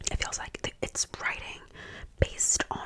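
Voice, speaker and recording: Through noticeable background noise, the words come whispered at a fairly slow pace. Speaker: ASMR creator and book reviewer. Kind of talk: whispered casual chit-chat to camera about books. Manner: whispered, ASMR-style.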